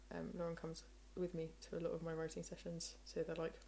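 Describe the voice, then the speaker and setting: This woman talks at a fairly quick pace. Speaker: singer-songwriter. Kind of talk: casual interview chat.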